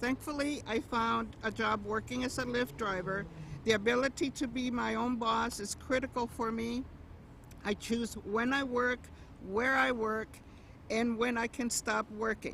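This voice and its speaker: Here a woman talks in a plain, everyday voice with a fairly high pitch. Her pace is fairly slow. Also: fairly even intonation. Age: 60s. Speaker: rideshare driver. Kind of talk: prepared speech at a rally.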